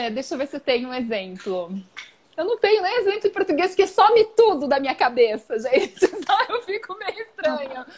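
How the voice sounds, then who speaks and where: Her pitch rises and falls across a very wide range. This woman keeps a moderate pace throughout. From Brazil. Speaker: origami live-stream host. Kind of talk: casual live-stream chat. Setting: Instagram live video. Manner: halting, mixing languages. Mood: cheerful, laughing. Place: home room. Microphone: earbuds.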